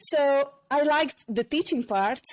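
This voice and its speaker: The recording is very clean and the background silent. A woman speaks. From Hungary. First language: Hungarian. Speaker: former hairdresser and personal development facilitator. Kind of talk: podcast interview, personal story.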